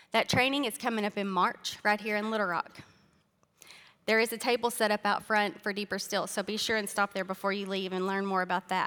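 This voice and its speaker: On a very clean recording with a silent background, a woman speaks fairly quickly with a Southern US accent. Her medium-pitched voice has a bright, sharp tone and fairly even intonation. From Arkansas. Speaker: speaker sharing testimony. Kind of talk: testimony. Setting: church.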